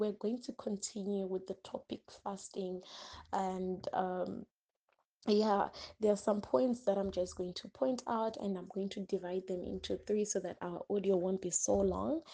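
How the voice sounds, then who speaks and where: A woman speaks softly. Her tone is dark and mellow. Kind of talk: Bible teaching talk. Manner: soft-spoken.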